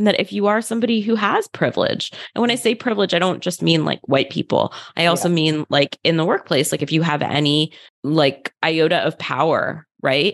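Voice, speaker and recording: A woman speaks at a fairly low pitch with lively intonation and vocal fry. The sound is dry and close with no echo, over a quiet background. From US, Philadelphia suburbs. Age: 30s. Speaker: psychiatrist. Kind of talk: interview conversation.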